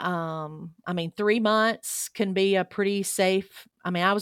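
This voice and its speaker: A woman speaks in a Southern US accent. Her pitch variation is ordinary. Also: very clean recording, silent background. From Alabama, US South. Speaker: church executive minister. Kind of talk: casual interview chat.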